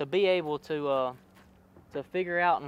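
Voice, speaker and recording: A man with a Louisiana accent speaks at a high pitch with fairly even intonation. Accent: Louisiana Southern US. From Louisiana (Pineville). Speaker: college bass angler. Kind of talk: interview. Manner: hesitant, many fillers and repeats.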